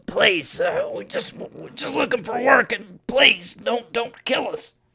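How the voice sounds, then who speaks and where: At a fairly slow pace, a man uses a raspy, put-on character voice. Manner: pleading.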